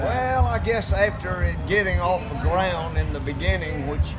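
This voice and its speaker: Over loud music in the background, a man speaks at a fairly slow pace. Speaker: runner. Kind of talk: interview answer. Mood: reflective, warm. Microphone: handheld.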